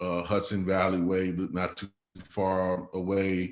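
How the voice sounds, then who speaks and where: A man with a very deep, low voice speaks at a fairly slow pace against a quiet background. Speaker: community organizer and speaker. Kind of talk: talk to a small group. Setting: in person with a group. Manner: halting.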